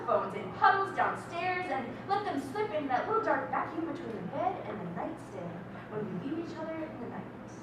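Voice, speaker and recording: Over noticeable background noise, a woman projects a raised voice at an extremely high pitch and a moderate pace. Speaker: slam poet. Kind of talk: spoken word slam poem performed live.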